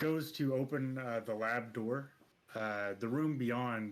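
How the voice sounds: Pitch varies in an ordinary way across this natural reading voice.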